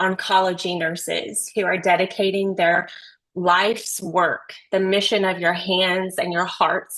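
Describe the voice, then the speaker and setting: Speaking in a Southern US accent, a woman takes a fairly slow pace. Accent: Southern drawl, deep but controlled. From Texas. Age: 40s. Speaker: nurse researcher, webinar speaker. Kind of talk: webinar presentation.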